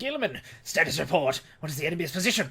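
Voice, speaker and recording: A put-on character voice sits at a middle pitch. It races along at a very fast pace. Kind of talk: archaic commanding speech. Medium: game stream. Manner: imperious, scornful.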